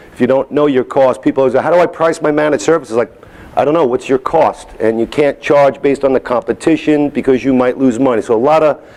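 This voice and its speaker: Speaking with a New York accent, a man has a fairly high pitch and ordinary pitch variation. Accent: New York accent, toned down. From New York City (Staten Island/Manhattan). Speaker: software company executive, conference speaker. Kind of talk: conference keynote.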